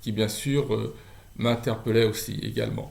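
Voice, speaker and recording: A man speaks at a medium pitch with vocal fry and monotone, flat intonation. Room echo is audible. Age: 60s. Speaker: charity volunteer. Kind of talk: testimony. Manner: halting.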